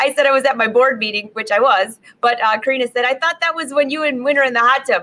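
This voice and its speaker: The voice is raised and projected, moving at a fairly quick pace. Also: woman. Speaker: sewing instructor, host. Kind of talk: casual live stream chat. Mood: cheerful, laughing. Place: workshop. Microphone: webcam.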